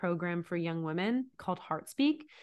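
A woman speaks in a plain, everyday voice at a medium pitch and a moderate pace. The background is quiet. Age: 30s. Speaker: life coach. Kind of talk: casual chat.

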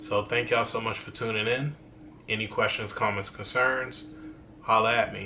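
In a room with audible echo and noticeable background noise, a man speaks at a moderate pace with monotone, flat intonation. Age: 30s. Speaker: YouTuber. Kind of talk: casual vlog monologue.

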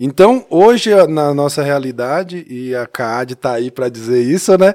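In a normal speaking voice, a man talks at a fairly slow pace with a fairly high pitch, lively intonation and big swings in loudness. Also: hardly any pauses. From Minas Gerais, Brazil (Taiobeiras, near Montes Claros). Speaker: church youth ministry leader. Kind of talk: casual chat.

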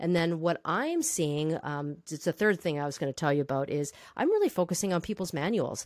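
A woman with a plain, everyday voice and fairly low pitch speaks at a fairly quick pace with hardly any pauses and ordinary pitch variation, on a very clean recording with a silent background. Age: 50s. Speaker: safety trainer and consultant. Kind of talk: interview.

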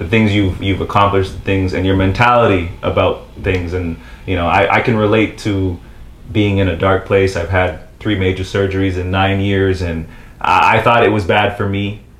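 With noticeable background noise behind it, the voice moves at a moderate pace in a monotone, flat intonation. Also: man, fairly low pitch for a man. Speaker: podcast host. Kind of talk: casual interview. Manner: halting, stumbles over words.

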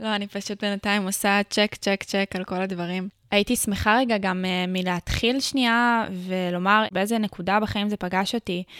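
In a very clean recording with a silent background and a dry, close sound free of echo, a woman of medium pitch speaks at a moderate pace with monotone, flat intonation. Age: 20s. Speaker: podcast host and content creator. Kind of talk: casual chat.

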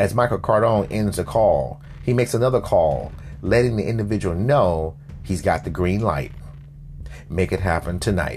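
A man speaks in a fairly low pitch with lively intonation and a dramatic tone at a moderate pace. His loudness stays very even despite noticeable background noise. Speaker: fiction podcast narrator and host. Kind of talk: dramatic scripted narration of a crime drama, present tense. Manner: tense, urgent, gripping storyteller pacing with dramatic pauses; serious, measured newsreel-style delivery.

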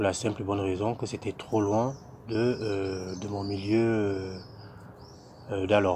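A man with a fairly low, somewhat breathy voice and a dark, mellow tone speaks very slowly in a flat monotone, leaving long, frequent pauses. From Cameroon. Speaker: SAP budget applications consultant. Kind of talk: interview. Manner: hesitant, many fillers.

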